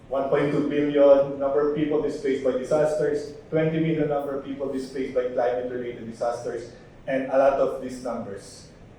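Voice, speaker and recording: Hardly any pauses break this fairly quick delivery with fairly even intonation, heard through audible room echo and noticeable background noise. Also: man, fairly high pitch for a man. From Philippines. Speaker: conference panelist. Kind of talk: conference presentation. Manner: repetitive restarts.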